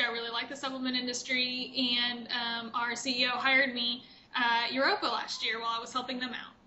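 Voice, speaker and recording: Monotone and flat, the speech comes in an American accent at a fairly quick pace, with noticeable background noise and audible room echo. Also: woman. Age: 20s. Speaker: fitness competitor. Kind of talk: interview.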